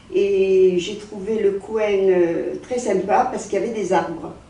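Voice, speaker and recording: Fairly even intonation at a fairly slow pace, with audible room echo and noticeable background noise. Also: woman. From French provinces. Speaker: longtime resident. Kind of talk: documentary interview. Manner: hesitant.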